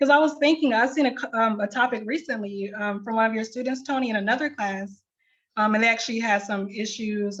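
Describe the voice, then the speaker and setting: The voice is somewhat breathy, with ordinary pitch variation. The pace is fairly quick. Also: woman. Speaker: librarian. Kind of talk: tutorial.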